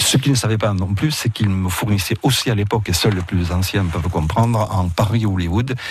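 With music in the background, a man in a Catalan accent speaks at a fairly low pitch and a fairly quick pace, with hardly any pauses, very even loudness and ordinary pitch variation. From Roussillon, French Catalonia. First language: Catalan (speaking French). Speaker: university professor and writer. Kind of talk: radio interview. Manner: halting, with repetitions.

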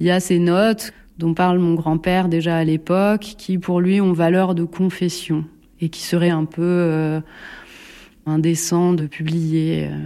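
On a very clean recording with a silent background, a woman speaks very slowly in a fairly low pitch, her dark, mellow tone held to a monotone, flat intonation. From central France, Bourges. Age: 40s. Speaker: sculptor. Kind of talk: interview. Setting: home workshop. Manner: hesitant.

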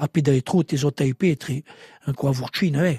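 A man's somewhat breathy voice with fairly even intonation and a dry, close sound with no echo. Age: 70s. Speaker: singer and songwriter. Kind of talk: interview.

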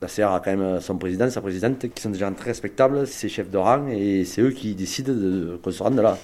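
A man talks at a fairly quick pace in a fairly low pitch with a dark, mellow tone and ordinary pitch variation. The recording is very clean, with a silent background. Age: 40s. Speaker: farmer. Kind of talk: testimony.

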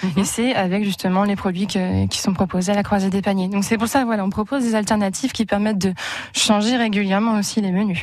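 A woman's medium-pitched voice at a very fast pace, fairly even in intonation, over noticeable background noise. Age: 20s. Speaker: volunteer. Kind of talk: radio interview.

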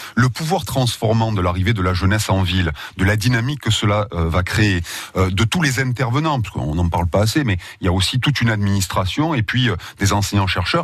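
With lively intonation and a fairly quick pace, this man's voice is fairly low in pitch and somewhat breathy. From southern France, Marseille. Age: 40s. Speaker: university president. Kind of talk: radio interview. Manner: halting, repeats words.

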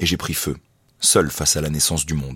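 Heard on a very clean recording with a silent background, a man talks at a moderate pace with vocal fry. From France, Grenoble. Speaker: comic book artist and climber. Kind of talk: casual chat. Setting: outdoors. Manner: halting.

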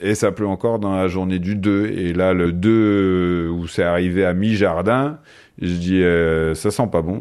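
A man speaks in a very deep, low voice. His pace is very slow and his intonation fairly even. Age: 40s. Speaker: PE teacher, flood victim. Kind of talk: testimony.

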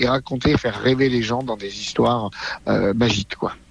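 A man speaks over noticeable background noise. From France, Drôme. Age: 60s. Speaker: magician. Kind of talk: interview.

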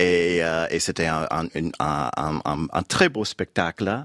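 A man speaks with an English accent in a very deep, low pitch. The sound is dry and close with no echo, on a very clean recording with a silent background. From United States. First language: English (speaking French). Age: 50s. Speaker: novelist. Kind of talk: radio interview. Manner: halting, many hesitations.

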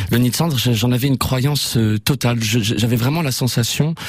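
Through noticeable background noise, a man speaks at a medium pitch with ordinary pitch variation. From Normandy, France (Évreux). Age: 30s. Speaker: playwright and theatre director. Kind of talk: radio interview. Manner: hesitant, with fillers.

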